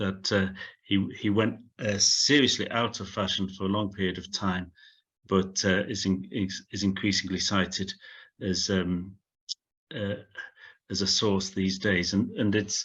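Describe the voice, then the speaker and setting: With a Sheffield accent, a man speaks flatly in a monotone at a fairly slow pace and fairly low pitch, leaving long, frequent pauses. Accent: similar to a Sheffield. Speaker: professor. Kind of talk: Q&A after lecture. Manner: halting with many fillers.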